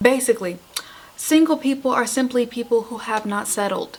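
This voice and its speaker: Against noticeable background noise, a woman speaks at a moderate pace in a high pitch. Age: 20s. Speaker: YouTuber. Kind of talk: comedic casual talk to camera.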